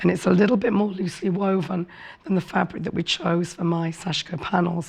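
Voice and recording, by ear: A woman's fairly low voice with vocal fry, a slightly husky edge, fairly quick pace and fairly even intonation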